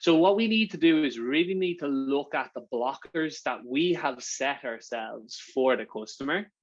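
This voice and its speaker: Speaking with an Irish accent, a man with a fairly high pitch keeps a moderate pace and lively intonation. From Ireland. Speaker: sales partnerships manager giving a workshop. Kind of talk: online workshop presentation. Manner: casual, with frequent fillers and repetitions.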